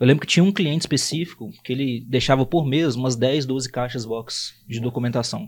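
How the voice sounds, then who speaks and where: Recorded very cleanly with a silent background, a man with a plain, everyday voice speaks at a fairly high pitch with ordinary pitch variation. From Brazil, Belo Horizonte. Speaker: accounting firm founder. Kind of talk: podcast interview.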